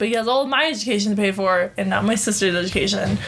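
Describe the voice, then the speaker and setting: There's noticeable noise in the background. Over it, a woman talks with an American accent. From Utah. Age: 20s. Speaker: podcast host. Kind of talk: casual chat. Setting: home recording with guests. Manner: fast.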